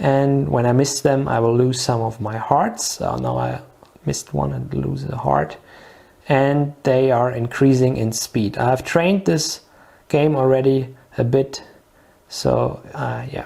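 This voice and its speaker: Speech in a non-native accent moves along fairly slowly. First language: not English. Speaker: product demonstrator. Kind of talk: product demonstration tutorial. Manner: halting, many fillers.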